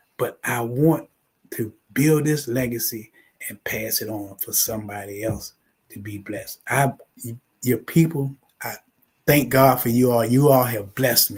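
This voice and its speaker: The speaker goes at a fairly slow pace, with long, frequent pauses and big swings in loudness. The voice is somewhat breathy, with ordinary pitch variation. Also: man, medium pitch for a man. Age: 70s. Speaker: funeral home owner. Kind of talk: talk show interview.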